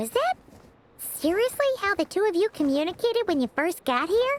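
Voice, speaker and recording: This put-on character voice sits at an extremely high pitch. It moves at a moderate pace with very wide pitch swings. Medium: video game. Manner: quick, chirpy, teasing.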